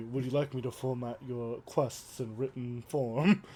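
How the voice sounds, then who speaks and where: A man's put-on, robotic character voice at medium pitch and moderate pace, with clear background noise. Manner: stiff, robotic.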